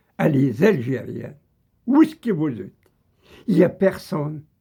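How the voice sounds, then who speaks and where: A man with an Algerian accent speaks in a dark, mellow tone. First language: Kabyle (speaking French). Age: old. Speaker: political video commentator. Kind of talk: angry monologue.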